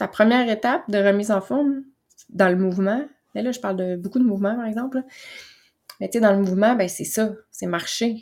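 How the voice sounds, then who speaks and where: A woman speaks with a Quebec accent. Her pitch varies in an ordinary way. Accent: Québécois French. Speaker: wellness coach and podcast host. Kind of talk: motivational monologue. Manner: calm, relaxed.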